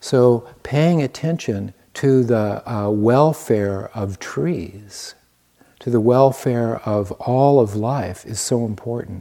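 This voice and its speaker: A man's very slow delivery in an American accent, dark and mellow in tone. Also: medium pitch for a man, ordinary pitch variation. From US Midwest, Iowa. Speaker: meditation and qigong teacher. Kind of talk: dharma talk. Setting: meditation retreat. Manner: halting.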